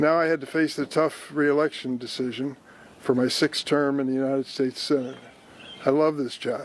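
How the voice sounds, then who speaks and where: With a Midwestern American accent, a man speaks at a moderate pace and fairly high pitch in a monotone, flat intonation, with noticeable background noise. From East St. Louis, Illinois. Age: 80s+. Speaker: US senator. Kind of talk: prepared political announcement.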